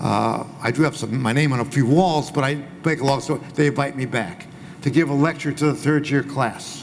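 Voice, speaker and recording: Words come at a fairly quick pace while noticeable background noise fills the recording. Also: man, fairly high pitch for a man. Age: 80s+. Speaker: former agency president. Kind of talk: panel discussion. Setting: small room with audience.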